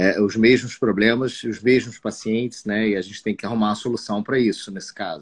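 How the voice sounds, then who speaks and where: In an unremarkable speaking voice, a man talks at a fairly quick pace with fairly even intonation and big swings in loudness. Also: fairly low pitch for a man. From Espírito Santo, Brazil (Marataízes). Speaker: cardiologist. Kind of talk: live stream medical conversation. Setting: online live stream.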